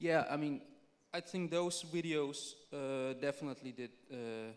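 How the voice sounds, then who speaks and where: This man, with a non-native accent, talks at a fairly slow pace in a fairly high pitch, his pitch varying in an ordinary way. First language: not English. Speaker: film director. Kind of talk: panel discussion.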